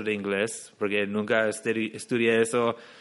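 The man's medium-pitched voice carries an English accent and a flat, monotone intonation. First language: English (speaking Spanish). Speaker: English teacher and entrepreneur. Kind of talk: interview.

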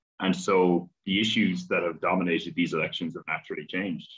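This man has an Irish accent and a very deep, low pitch. He talks at a fairly quick pace. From Ireland. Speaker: academic, political commentator. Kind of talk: interview.

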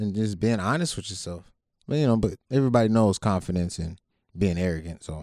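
A man speaks in a plain, everyday voice with an American accent, fairly low in pitch and at a fairly quick pace. His pitch varies in an ordinary way, and the recording is very clean with a silent background. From Ohio, Youngstown. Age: 30s. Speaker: podcast co-host, navy veteran, business owner. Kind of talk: casual chat.

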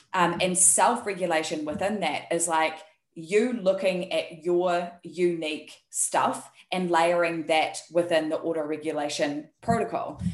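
Speaking in a New Zealand accent, a woman with a fairly low pitch goes at a fairly slow pace with hardly any pauses. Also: fairly even intonation. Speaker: health and performance coach. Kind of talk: casual interview chat.

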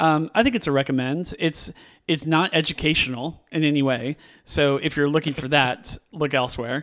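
On a very clean recording with a silent background, a man with a West Coast US accent speaks at a fairly high pitch with ordinary pitch variation. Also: moderate pace. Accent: General American, West Coast. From California. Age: 40s. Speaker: podcast host, movie reviewer. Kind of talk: casual chat. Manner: halting.

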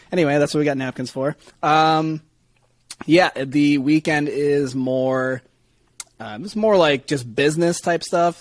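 An unremarkable speaking voice from a man, moderate in pace, with ordinary pitch variation. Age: young. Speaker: podcast producer. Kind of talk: casual chat.

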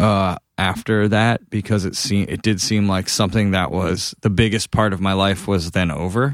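An unremarkable speaking voice moves at a moderate pace with hardly any pauses and fairly even intonation. The recording is very clean, with a silent background. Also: man, fairly low pitch for a man. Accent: American. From Massachusetts, New England. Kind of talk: casual interview.

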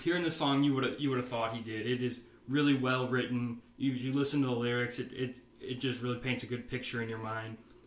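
A man with an American accent talks at a medium pitch in a monotone, flat intonation. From Nebraska, Omaha. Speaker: podcast host, country music fan. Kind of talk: casual chat.

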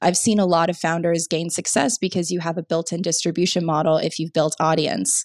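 With an unremarkable speaking voice, a woman speaks fairly quickly at a fairly low pitch with fairly even intonation, in a dry, close sound with no echo. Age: 20s. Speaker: startup founder. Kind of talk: interview.

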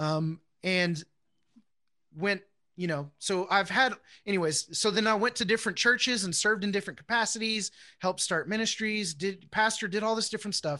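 With an American accent, a man speaks in a raised, projected voice that is high-pitched with ordinary variation, a bright, sharp tone, and a fairly quick pace against a quiet background. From Houston, Texas. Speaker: Bible class teacher. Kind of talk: teaching.

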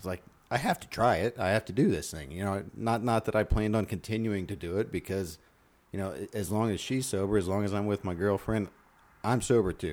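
Here a man speaks at a fairly quick pace in an unremarkable speaking voice. His pitch is fairly low, with ordinary variation. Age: 40s. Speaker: comedian and military veteran. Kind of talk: casual chat.

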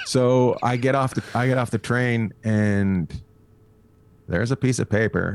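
Speaking at a fairly slow pace, a man with a fairly low pitch has a slight Canadian accent. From Canada, near Alaska. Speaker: stand-up comedian. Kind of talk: casual interview chat.

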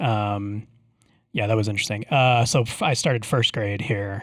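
Someone with an ordinary speaking voice talks at a fairly quick pace. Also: man. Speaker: podcast host. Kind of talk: casual chat. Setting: video call.

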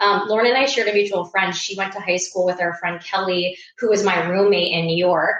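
A woman talks at a moderate pace with medium pitch. Her intonation stays fairly even. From US Midwest, Iowa. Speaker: startup founder and CEO. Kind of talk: interview. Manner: hesitant, many fillers.

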